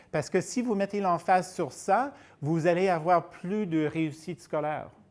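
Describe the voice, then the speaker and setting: Speaking fairly slowly with a non-native accent, a man uses a high pitch and ordinary pitch variation. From United States, California. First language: English (speaking French). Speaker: researcher and conference speaker. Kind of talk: lecture. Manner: hesitant, searching for words.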